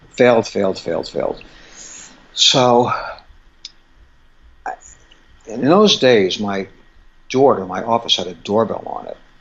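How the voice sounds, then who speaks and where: With noticeable background noise, a man of medium pitch speaks at a fairly slow pace with ordinary pitch variation, big swings in loudness and long, frequent pauses. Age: 60s. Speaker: acupuncturist specializing in fertility. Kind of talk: interview storytelling. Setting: podcast interview. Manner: animated.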